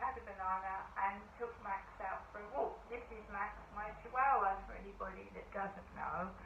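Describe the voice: There is audible room echo as a woman with a fairly bright tone speaks at a moderate pace with fairly even intonation.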